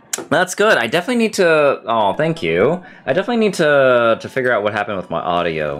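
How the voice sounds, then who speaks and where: Music plays in the background as the speaker races along at a very fast pace with hardly any pauses. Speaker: streamer. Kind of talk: casual chat. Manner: loud.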